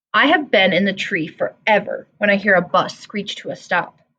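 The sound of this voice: Text read in an unforced reading voice.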